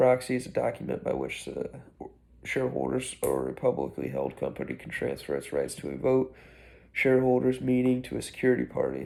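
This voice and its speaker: A man is soft-spoken. He talks at a fairly quick pace. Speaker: student. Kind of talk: chapter summary. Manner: halting.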